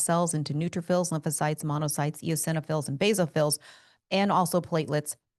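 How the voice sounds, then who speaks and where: In a quiet background, a woman speaks with fairly even intonation. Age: 50s. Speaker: doctor. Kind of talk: medical explainer podcast. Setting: podcast studio. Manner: fast.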